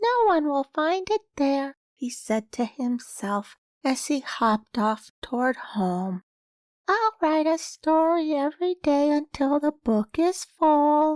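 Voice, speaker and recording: In a put-on character voice, the speaker talks at a fairly slow pace. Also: woman, high pitch for a woman. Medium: read story.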